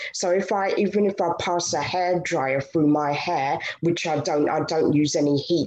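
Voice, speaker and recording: Amid noticeable background noise, a woman speaks at a fairly slow pace in a fairly low pitch. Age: 30s. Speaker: natural hair vlogger. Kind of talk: personal testimony on panel. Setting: video call.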